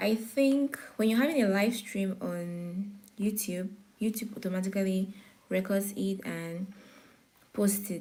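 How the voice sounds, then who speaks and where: Somewhat breathy and dark, mellow in tone, a woman speaks fairly slowly with ordinary pitch variation. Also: medium pitch for a woman. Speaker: forex trading teacher. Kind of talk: live-streamed beginner class. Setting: YouTube live stream. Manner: pauses to catch breath.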